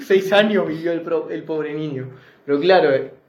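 A man speaks at a fairly slow pace with a fairly high pitch. His intonation is fairly even, and there is audible room echo. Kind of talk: casual chat. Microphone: phone recording.

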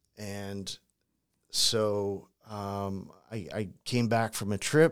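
A man with an American accent and an ordinary speaking voice, fairly low in pitch, with fairly even intonation, in a very clean recording with a silent background. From St. Louis, Missouri, US Midwest. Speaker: crisis communications consultant, former prisoner. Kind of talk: interview, personal story.

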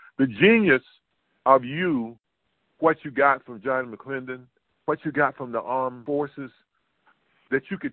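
With a North Carolina accent, a man speaks at a moderate pace in a fairly high pitch. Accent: Southern US (North Carolina). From US South, North Carolina. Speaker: podcast host, former basketball player. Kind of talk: interview.

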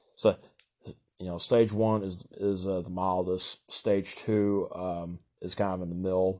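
Speaking at a fairly slow pace, a man has a Southern US accent. His pitch is very deep and low, with monotone, flat intonation. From Kentucky, US South. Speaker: solo podcaster. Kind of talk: casual monologue. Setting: home recording. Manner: stutters, halting with many fillers; nervous laughter.

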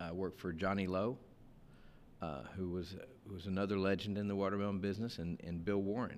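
A man with a South Texas accent, very deep low pitch, fairly even intonation and a fairly quick pace. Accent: South Texas American. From US, South Texas (Rio Grande Valley). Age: 50s. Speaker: produce business owner. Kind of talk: interview. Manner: halting, frequent repetitions.

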